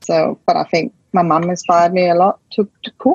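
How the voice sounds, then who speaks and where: A woman with a Danish accent speaks at a fairly low pitch with ordinary pitch variation, the sound dry and close with no echo. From rural west coast of Denmark. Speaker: chef and cafe owner. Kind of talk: interview.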